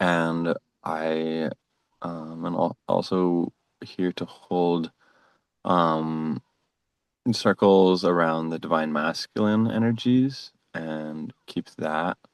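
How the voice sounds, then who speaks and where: A man's very deep, low voice at a very slow pace, with ordinary pitch variation, long, frequent pauses, and a dry, close sound with no echo. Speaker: ceremony participant. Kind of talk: ceremonial sharing. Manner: hesitant with fillers.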